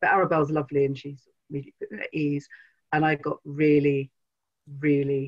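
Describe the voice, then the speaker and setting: Against a quiet background, a woman with a British accent and a very deep, low, somewhat breathy voice talks at a moderate pace with long, frequent pauses. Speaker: crime novelist. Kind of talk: interview. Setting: video call. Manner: excitable. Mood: warm, friendly. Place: home room. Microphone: video call.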